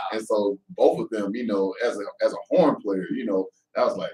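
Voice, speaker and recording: Speaking in an American accent, the man keeps to a moderate pace. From Atlanta, US South. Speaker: flutist. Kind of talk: interview.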